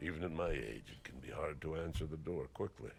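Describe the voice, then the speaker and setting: In a put-on character voice, a man talks gruffly at a fairly quick pace with a very deep, low pitch. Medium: video game.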